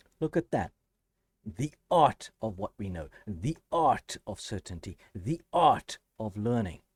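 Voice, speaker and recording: A man with a South African accent speaks at a very slow pace and medium pitch, his pitch swinging very widely, in a dry, close sound with no echo on a very clean recording with a silent background. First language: Afrikaans. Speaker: math educator, YouTuber. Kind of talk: educational talk to camera. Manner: halting, with self-corrections.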